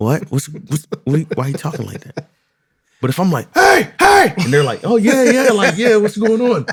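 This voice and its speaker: A loud, high-pitched male voice with very wide pitch swings. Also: moderate pace. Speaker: podcast co-host. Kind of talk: casual chat. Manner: casual, repetitive with false starts.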